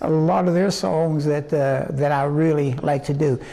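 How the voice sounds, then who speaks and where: Noticeable background noise sits behind this recording. A man speaks with a fairly high pitch and ordinary pitch variation. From West Virginia, Osage near Morgantown. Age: 80s+. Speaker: singer. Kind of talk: interview. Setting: museum. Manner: halting, many fillers.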